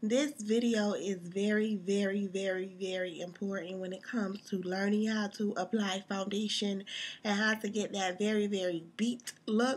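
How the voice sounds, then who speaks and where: At a moderate pace and with hardly any pauses, a woman speaks in a somewhat breathy voice of medium pitch with fairly even intonation. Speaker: makeup artist. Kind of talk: tutorial. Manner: casual, many fillers.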